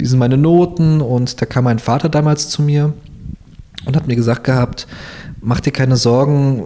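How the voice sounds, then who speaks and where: The speaker talks at a moderate pace. There is noticeable background noise. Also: man. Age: 20s. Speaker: SEO team lead. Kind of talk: interview. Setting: in person at workplace.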